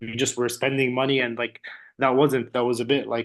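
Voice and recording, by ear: A man with a medium pitch talks at a fairly quick pace, his pitch moving very little.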